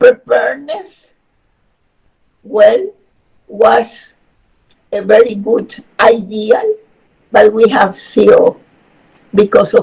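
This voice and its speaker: This woman talks at a very slow pace. Her words carry a Spanish accent. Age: 70s. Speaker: human rights expert. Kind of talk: webinar lecture.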